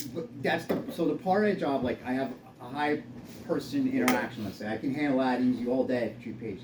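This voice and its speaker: A man talks at a very fast pace, his medium pitch showing ordinary variation. Noticeable background noise and audible room echo fill the recording. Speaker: physical therapist. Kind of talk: casual chat.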